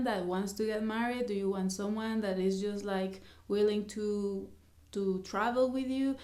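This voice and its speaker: Speaking with a Mexican accent, a woman uses monotone, flat intonation at a medium pitch, her tone dark and mellow, with audible room echo around her. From Mexico. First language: Spanish. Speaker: vlogger. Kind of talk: casual vlog talk to camera. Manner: halting.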